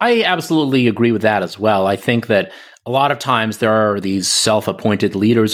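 A plain, everyday voice from a man with an American accent, medium pitch, ordinary pitch variation, and a fairly quick pace on a very clean recording with a silent background. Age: 40s. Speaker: lawyer and writer. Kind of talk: interview conversation.

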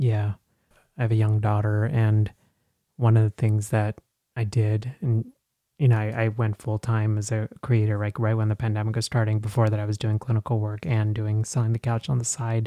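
A man with an American accent speaks at a fairly low pitch in a dark, mellow tone with monotone, flat intonation, in a dry, close sound with no echo. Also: moderate pace. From Texas. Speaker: psychologist and podcaster. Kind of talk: interview. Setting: remote recording.

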